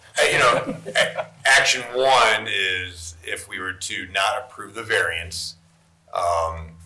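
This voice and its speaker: Noticeable noise sits in the background. The man's voice carries an audible room echo. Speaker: zoning board member. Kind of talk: board meeting deliberation. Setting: public meeting. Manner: mumbling.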